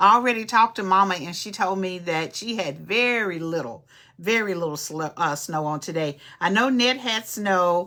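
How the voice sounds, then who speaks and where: An animated woman's voice in an East Texas accent, bright and sharp in tone, with very wide pitch swings at a moderate pace, in a very clean recording over a silent background. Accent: East Texas Southern US. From East Texas (Nacogdoches). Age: 60s. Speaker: podcast host and social worker. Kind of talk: casual livestream chat. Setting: live stream.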